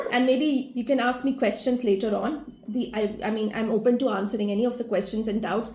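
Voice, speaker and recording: Her fairly high voice has a dark, mellow tone and ordinary pitch variation as the woman talks at a fairly quick pace amid audible room echo. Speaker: family constellation facilitator. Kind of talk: awareness talk to an online group. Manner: fast.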